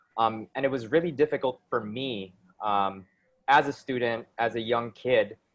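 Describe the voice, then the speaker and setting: A man with a strong American accent, medium pitch and ordinary pitch variation. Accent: American, very thick. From Philippines (from age 8, born in Brooklyn). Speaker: innovation consultant and public speaker. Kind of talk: talk to youth group. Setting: video call. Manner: frequent filler ums.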